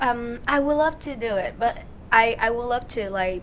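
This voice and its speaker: A woman speaks in a Vietnamese accent at a fairly high pitch. Her pitch variation is ordinary. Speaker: singer, talent show contestant. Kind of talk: interview. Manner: halting.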